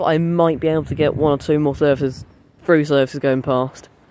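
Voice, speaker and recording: A moderate pace, a dry sound with no echo, and light background noise. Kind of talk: casual vlog chat. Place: station. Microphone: phone near.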